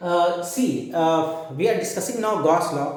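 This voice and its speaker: A man with an Indian accent speaks loudly. Audible room echo surrounds his voice. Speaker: physics teacher. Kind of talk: lecture. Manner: halting.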